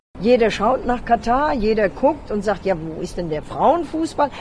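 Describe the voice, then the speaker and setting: There is noticeable background noise behind a woman whose voice is fairly high in pitch. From Hesse, Germany. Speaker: football coach. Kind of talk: interview.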